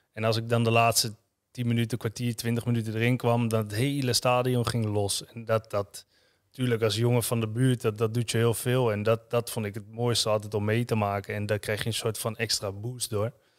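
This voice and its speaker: Monotone, flat intonation from a man at a fairly quick pace, against a quiet background. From Netherlands, Utrecht area (Houten); Netherlands. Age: 30s. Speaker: former professional footballer; podcast guest. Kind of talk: interview testimony. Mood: calm, reflective, sometimes heavy. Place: studio. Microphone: studio mic.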